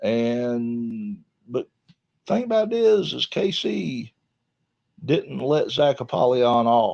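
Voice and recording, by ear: A man talks slowly at a medium pitch, his slightly mellow voice showing vocal fry and big pitch swings.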